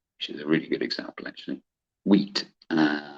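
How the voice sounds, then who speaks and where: A man speaks with a West Country accent. The sound is dry and close, with no echo. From West Country, England. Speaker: trading educator. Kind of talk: tutorial. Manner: casual, chatty with laughter.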